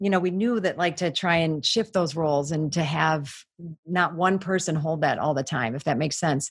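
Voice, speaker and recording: A somewhat breathy voice at a moderate pace, with ordinary pitch variation. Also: woman, fairly low pitch for a woman. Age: 50s. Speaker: life coach. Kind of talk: casual interview.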